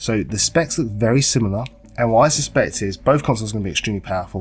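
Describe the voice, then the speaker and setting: Somewhat breathy and fairly low, a man's voice races at a very fast pace with ordinary pitch variation. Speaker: gaming YouTuber. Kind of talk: casual talk to camera.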